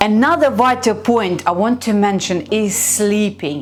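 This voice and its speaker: A woman at medium pitch uses lively intonation against noticeable background noise. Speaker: fitness coach and nutritionist. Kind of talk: vlog advice talk.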